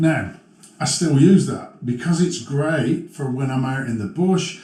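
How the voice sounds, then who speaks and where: At a moderate pace, a man with a fairly high voice speaks amid audible room echo. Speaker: motovlogger. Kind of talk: tutorial. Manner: casual, halting with fillers. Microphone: muffled sound during helmet demo.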